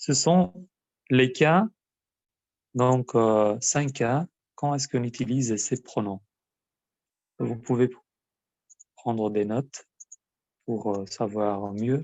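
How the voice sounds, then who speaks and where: A man speaks at a medium pitch with ordinary pitch variation. His pace is very slow, with long, frequent pauses. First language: Albanian (speaking French). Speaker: language teacher. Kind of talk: lesson. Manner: hesitant, many filler sounds.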